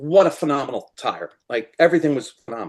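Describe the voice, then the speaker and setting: Over a quiet background, a man with a New Jersey accent and a fairly high pitch talks at a fairly quick pace with ordinary pitch variation. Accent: New Jersey American. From US Northeast, New Jersey. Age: 60s. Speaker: fly-tying materials supplier. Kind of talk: interview.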